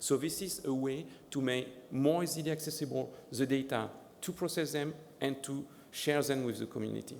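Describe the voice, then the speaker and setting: The room echo is audible. A man talks at a fairly high pitch with fairly even intonation. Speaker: ocean data program director giving a demo. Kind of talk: conference presentation with live demo. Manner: fast; halting, many fillers and repeats.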